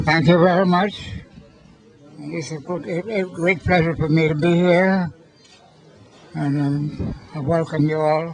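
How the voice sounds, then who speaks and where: Fairly slow, fairly even speech in an American accent, with long, frequent pauses and noticeable background noise. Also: man, fairly high pitch for a man. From US Virgin Islands, St. Croix. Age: 80s+. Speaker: centenarian. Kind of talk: speech at birthday celebration. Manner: halting.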